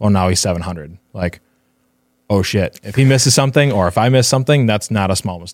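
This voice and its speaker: Speaking with an American accent, a man uses an unremarkable speaking voice at a fairly low pitch. His intonation is lively, his pace fairly quick, and his loudness swings widely. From US Midwest, Northfield, Minnesota. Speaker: construction estimator and designer. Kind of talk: casual interview.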